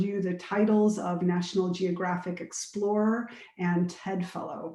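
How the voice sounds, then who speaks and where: A woman with an American accent speaks at a fairly slow pace in a medium pitch, in an unremarkable speaking voice. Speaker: nonprofit director and panel moderator. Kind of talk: panel moderation, introducing guests. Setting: Zoom webinar. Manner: casual, with frequent fillers.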